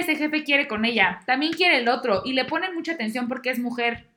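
A woman speaks in a raised, projected voice at a high pitch, her bright, sharp tone swinging very widely up and down. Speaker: podcast guest, bank employee. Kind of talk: casual chat.

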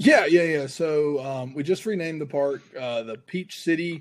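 With a Southern US accent, a man speaks at a moderate pace with ordinary pitch variation on a very clean recording with a silent background. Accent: Southern American. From US South, north metro Atlanta, Georgia. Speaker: sports podcast guest, IT program manager. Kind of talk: casual sports chat.

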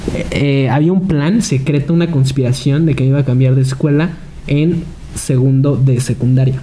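Through audible room echo and noticeable background noise, a man talks at a fairly high pitch. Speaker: podcast co-host. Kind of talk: casual chat.

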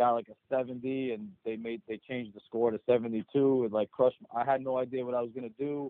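A man with a New Jersey accent, medium pitch, fairly quick pace with hardly any pauses, and monotone, flat intonation. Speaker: HVAC business owner.

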